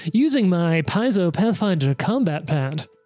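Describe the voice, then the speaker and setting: A put-on character voice at a middle pitch. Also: moderate pace. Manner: promotional, announcer-like.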